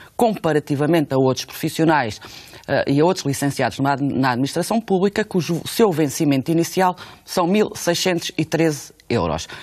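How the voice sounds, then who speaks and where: Against a quiet background, a woman with a very deep, low pitch talks at a fairly slow pace with lively intonation and very even loudness. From Portugal. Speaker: union leader. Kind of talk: radio interview. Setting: studio. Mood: serious, firm argumentation. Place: studio.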